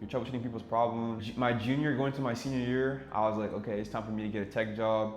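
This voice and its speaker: A man with a French accent at a very fast pace, hardly any pauses, fairly even intonation and audible room echo. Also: medium pitch for a man. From Senegal and Ivory Coast. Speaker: cybersecurity engineer, YouTuber. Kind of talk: casual vlog intro.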